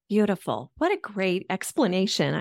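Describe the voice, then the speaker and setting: In a very clean recording with a silent background and a dry, close sound with no echo, a woman with an unremarkable speaking voice talks at medium pitch and a fairly slow pace. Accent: American. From Colorado, US. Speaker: podcast host. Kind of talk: interview.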